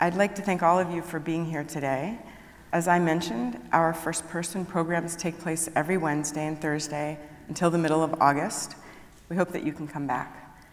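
A plain, everyday voice from a woman, fairly low in pitch, fairly quick, with fairly even intonation. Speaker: interviewer. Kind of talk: interview. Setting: stage with audience. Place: hall. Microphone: headset.

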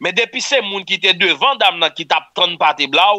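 Here a man speaks at a moderate pace and a high pitch, with ordinary pitch variation. The background is quiet and the sound is dry with no echo. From Haiti. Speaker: news commentator. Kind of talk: news commentary. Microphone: studio mic.

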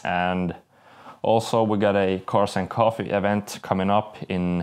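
Very deep and low, this man's voice moves at a fairly slow pace. Behind him the background stays quiet. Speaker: car project vlogger. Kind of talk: casual vlog chat. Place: garage. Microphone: phone near.

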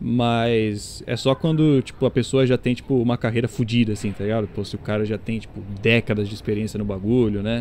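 A man with an unremarkable speaking voice talks at a medium pitch with fairly even intonation. His pace is fairly quick, with hardly any pauses. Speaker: YouTuber and game studio worker. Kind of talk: casual vlog monologue.

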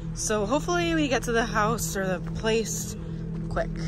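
The speech moves at a fairly slow pace. Music plays in the background, and the sound is dry with no echo. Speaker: vlogger filming. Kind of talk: casual vlog chat. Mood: nervous, slightly scared. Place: forest. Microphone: phone near.

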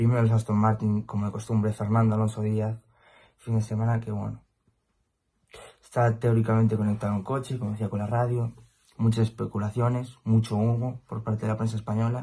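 Talking at a fairly quick pace, a man has a fairly low pitch, a dark, mellow tone with a slightly husky edge, and little pitch movement.

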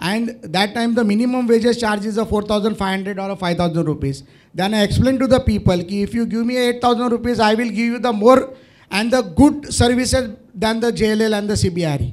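A high-pitched man with an Indian accent, ordinary pitch variation, and a quiet background. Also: moderate pace. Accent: Indian (Marathi) English. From Mumbai, India. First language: Marathi. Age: young. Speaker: businessman and politician. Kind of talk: interview before live audience. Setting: stage with audience. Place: stage. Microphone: handheld.

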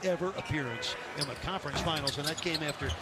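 A man at a moderate pace with ordinary pitch variation, dry sound with no echo, and loud background noise. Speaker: play-by-play announcer. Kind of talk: commentary. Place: hall.

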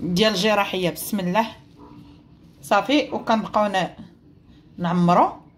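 A woman's somewhat breathy voice carries ordinary pitch variation. Light background noise sits underneath. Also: fairly slow pace. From Morocco. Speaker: cooking channel host. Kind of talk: cooking tutorial. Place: kitchen. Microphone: phone near.

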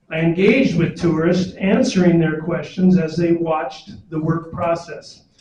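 A dark, mellow tone with fairly even intonation and audible room echo. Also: man. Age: 70s. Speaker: city council candidate, retired dairy farm manager. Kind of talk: candidate forum introduction. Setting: public forum with audience and microphones.

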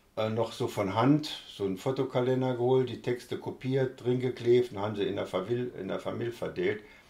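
A man talks at a moderate pace, his voice somewhat breathy. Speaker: dialect author. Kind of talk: interview answer. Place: home room.

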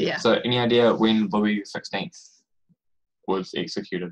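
This man's voice sits at a fairly low pitch. The background is quiet. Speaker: quiz host presenting the topic. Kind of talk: casual quiz chat. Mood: playful, relaxed. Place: home room. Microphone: video call.

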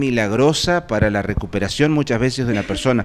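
This is an ordinary speaking voice. Its pitch varies in a normal way. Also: man. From Argentina. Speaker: local news interviewer. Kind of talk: interview.

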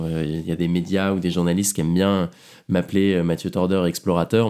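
On a very clean recording with a silent background, a man talks at a fairly quick pace in a very deep, low pitch. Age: 20s. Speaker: polar adventurer. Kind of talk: interview, casual. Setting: at home. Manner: hesitant, many fillers.

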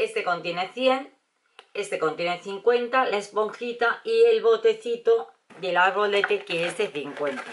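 Speaking at medium pitch in an animated tone, a woman goes at a fairly slow pace with ordinary pitch variation. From Spain, Valencia. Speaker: beauty vlogger. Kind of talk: product review vlog. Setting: at home. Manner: chatty, animated. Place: home room. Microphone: camera far.

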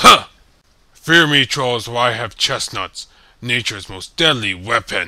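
Using a raspy, put-on character voice at medium pitch, a man speaks at a fairly slow pace. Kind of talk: comedy parody dub. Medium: dub.

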